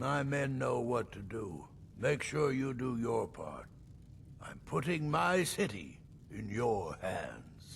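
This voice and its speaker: A man talks in a put-on character voice at a medium pitch and a fairly slow pace. Background noise is clearly audible. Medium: video game. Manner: commanding, steady.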